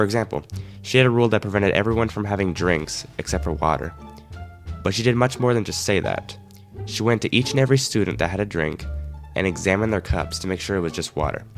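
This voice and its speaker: Over music in the background, a man with an American accent talks at a very fast pace in a fairly low voice with ordinary pitch variation. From Arizona, USA. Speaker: animator, storyteller. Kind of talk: casual story-time narration.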